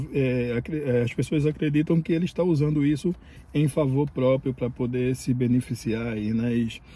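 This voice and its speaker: A man's dark, mellow tone, somewhat breathy, with very even loudness. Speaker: immigration vlogger. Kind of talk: casual vlog commentary. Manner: halting, many fillers.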